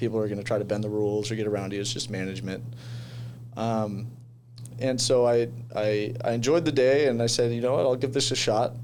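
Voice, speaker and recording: A man with a Californian accent at a medium pitch, fairly quick in pace yet with long, frequent pauses, fairly even intonation and audible room echo. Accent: Californian American English. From US West Coast, San Diego. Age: 20s. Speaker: commercial real estate agent. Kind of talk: podcast interview. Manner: casual, hesitant with many fillers.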